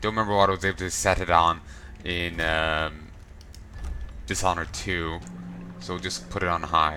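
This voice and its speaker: Speaking at a moderate pace with long, frequent pauses, a man with an Irish accent has a very deep, low pitch. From Ireland. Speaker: let's play gamer. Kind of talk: casual gameplay commentary.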